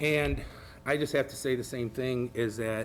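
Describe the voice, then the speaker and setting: Music plays behind a man who speaks in an American accent with ordinary pitch variation. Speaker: school board member. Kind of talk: public meeting remarks. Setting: board meeting with audience. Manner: halting.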